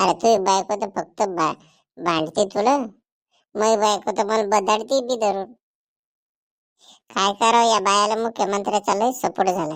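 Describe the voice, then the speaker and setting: In a very clean recording with a silent background, a cartoonish character voice that sounds female comes at a medium pitch for a woman and a fairly slow pace. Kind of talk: rural Marathi cartoon comedy. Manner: blunt, joking.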